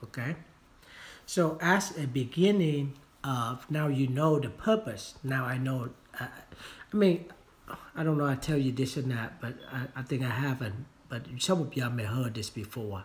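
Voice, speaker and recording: A man speaks in a Vietnamese accent at a medium pitch and a moderate pace. His intonation is lively, broken by long, frequent pauses. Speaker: real estate agent and trainer. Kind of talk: training talk. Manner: halting, many fillers.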